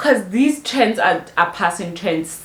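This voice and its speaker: Noticeable background noise sits behind a woman's voice. She speaks fairly slowly with lively intonation. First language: not English. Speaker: fashion YouTuber. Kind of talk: tutorial. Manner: casual, chatty.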